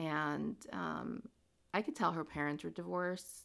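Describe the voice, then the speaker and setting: A very clean recording with a silent background, in an American accent. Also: woman. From New Jersey (Princeton), US. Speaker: podcaster. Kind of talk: casual monologue. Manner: rambling with many fillers.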